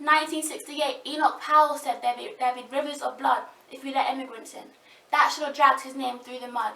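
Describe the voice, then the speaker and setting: A woman's high, raised and projected voice at a very fast pace, with ordinary pitch variation, big swings in loudness and noticeable background noise. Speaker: spoken word poet. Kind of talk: spoken word poetry performance.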